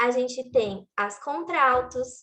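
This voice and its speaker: Her voice is high-pitched. The woman speaks at a very slow pace. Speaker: worship music trainer. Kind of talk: training workshop.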